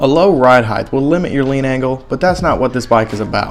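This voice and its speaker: With music in the background, a man talks at a fairly quick pace in a fairly high pitch. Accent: Southern US. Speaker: motorcycle rider. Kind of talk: casual explainer talk to camera. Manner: humorous, casual.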